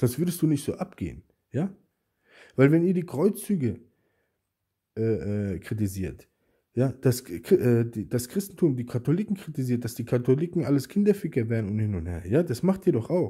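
A man speaks at a moderate pace in a dark, mellow, somewhat breathy tone, his pitch swinging very widely. Long, frequent pauses break up his speech against a quiet background. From Germany. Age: 40s. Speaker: YouTuber. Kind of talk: angry response video rant. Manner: agitated, insulting; repetitive, stammering restarts. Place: home room. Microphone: phone near.

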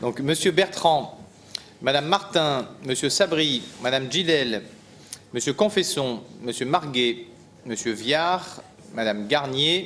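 Over light background noise, a man speaks at a very slow pace with lively intonation. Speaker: mayor chairing city council. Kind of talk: council meeting chairing. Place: hall. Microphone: podium.

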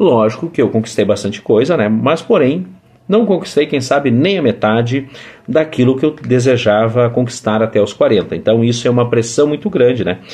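Speaking at a moderate pace, a man keeps his loudness very even while his intonation stays lively. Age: 40s. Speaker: vlogger. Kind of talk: casual monologue. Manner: halting. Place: home room. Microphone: phone near.

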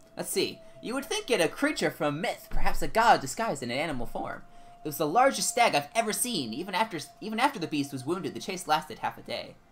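Faint music lingers in the background. Over it, a man speaks at a very fast pace. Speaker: gaming streamer. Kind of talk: casual livestream chat while playing a game. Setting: home streaming setup, recorded stream. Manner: casual, animated, chatty. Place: home room. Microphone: headset.

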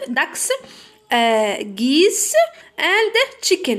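A woman talks at a very slow pace. Her pitch swings very widely. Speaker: middle school English teacher. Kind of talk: tutorial. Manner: switches between Arabic and read-out English.

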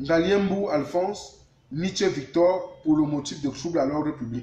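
A man speaks at a very slow pace in a high voice, with audible echo from the room. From Cameroon. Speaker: live stream host. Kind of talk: live news discussion, interview. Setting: live online video stream. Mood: serious, informative. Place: home room. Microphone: phone near.

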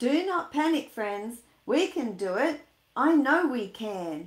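A woman uses a put-on character voice, high-pitched with big pitch swings. She speaks slowly, and the room echo is audible.

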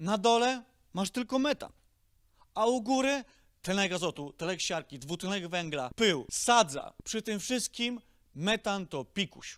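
On a very clean, dry, close recording with a silent background and no echo, a man speaks in an animated tone at a high pitch, with very wide pitch swings and a fairly slow pace. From Silesia, Poland. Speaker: stand-up comedian. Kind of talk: stand-up comedy routine with roast of polluters. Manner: sarcastic, swearing, animated.

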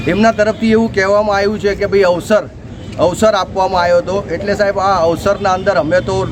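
A man's high-pitched voice in a flat monotone, over noticeable background noise. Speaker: local party representative. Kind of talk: press statement to reporter. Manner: formal.

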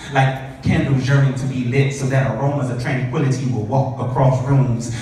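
A man's voice at a moderate pace, with strong room echo and light background noise. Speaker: spoken word artist. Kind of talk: spoken word poem. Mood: tender, romantic. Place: hall. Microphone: camera far.

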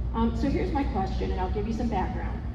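A woman's voice carries audible room echo over loud background noise. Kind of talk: public comment question at town hall. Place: hall. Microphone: pa.

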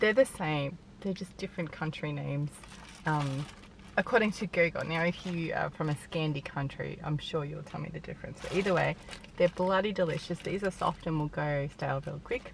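A woman's very deep, low voice with ordinary pitch variation, dry and echo-free, over light background noise. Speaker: vlogger. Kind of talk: casual vlog chat. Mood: cheerful, relaxed. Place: car. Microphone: phone near.

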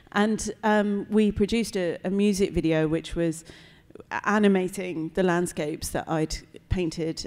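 A woman speaks with a British accent at fairly low pitch. Her intonation is fairly even, her pace fairly slow, and the background quiet. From Britain. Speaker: composer and visual artist; panelist. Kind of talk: panel talk before audience; panel discussion answer. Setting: gallery event with live audience. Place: hall. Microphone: handheld.

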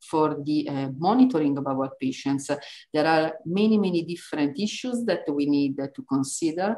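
The voice has a dark, mellow tone and lively intonation. It comes in an Italian accent against a quiet background. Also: woman. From Italy. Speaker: neuroimaging researcher. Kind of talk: lecture. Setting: online webinar. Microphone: webcam.

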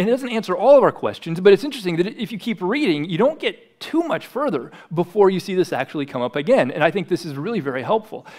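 Over a quiet background, a man with an American accent speaks very fast with hardly any pauses. His high voice makes very wide pitch swings. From US Midwest, South Dakota. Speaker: pastor. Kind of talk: sermon. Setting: church. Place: church. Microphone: headset.

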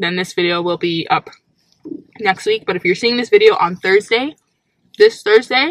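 A woman at a moderate pace, dry sound with no echo, quiet background. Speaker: vlogger. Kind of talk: casual vlog chat. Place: car. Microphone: phone near.

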